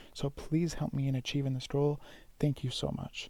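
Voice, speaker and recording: A quiet voice at a fairly quick pace. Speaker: gaming YouTuber. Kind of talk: video commentary on game leaks.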